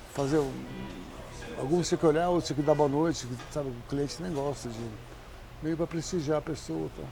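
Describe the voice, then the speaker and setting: A man's fairly high voice with ordinary pitch variation, long and frequent pauses, and music in the background. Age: 70s. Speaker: chef and restaurant owner. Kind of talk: interview. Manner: halting.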